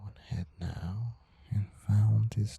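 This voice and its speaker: Soft-spoken whispering over noticeable background noise. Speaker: amateur photographer. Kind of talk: ASMR narration. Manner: whispered, soft-spoken.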